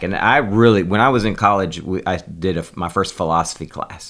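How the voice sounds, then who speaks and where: Delivered at a fairly quick pace with ordinary pitch variation, this is an unremarkable speaking voice. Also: man. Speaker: holistic doctor. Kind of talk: casual interview chat.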